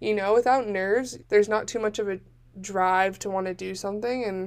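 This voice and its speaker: Fairly fast speech from a woman, medium in pitch, its rise and fall ordinary. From US West Coast, Northern California Bay Area. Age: 20s. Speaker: college student podcaster. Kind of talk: solo podcast monologue. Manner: frequent fillers, lots of ums; animated.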